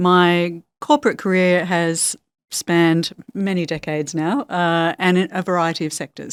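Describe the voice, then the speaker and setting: A woman with an Australian accent and a fairly low pitch, in a dry, close sound with no echo, on a very clean recording over a silent background. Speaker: HR executive. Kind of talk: podcast interview.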